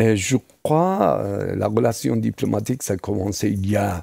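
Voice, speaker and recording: A man speaks very slowly in a Persian accent, his pitch fairly low and his voice carrying vocal fry. The tone is dark and mellow, with a dry, close sound and no echo. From Iran. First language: Persian (speaking French). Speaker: tourism expert. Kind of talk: interview. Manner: hesitant, many fillers.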